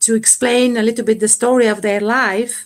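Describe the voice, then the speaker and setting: A woman with a Bulgarian accent. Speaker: poet. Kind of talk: interview. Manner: halting.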